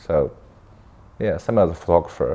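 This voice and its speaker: A man talks at a fairly quick pace. He has a Chinese accent. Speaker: filmmaker and camera operator. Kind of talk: interview. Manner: halting, with many fillers and self-corrections.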